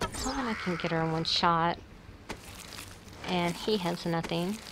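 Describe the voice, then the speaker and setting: In a plain, everyday voice, a woman talks at a fairly slow pace and a fairly low pitch with ordinary pitch variation. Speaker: gaming let's play creator. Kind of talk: gameplay commentary.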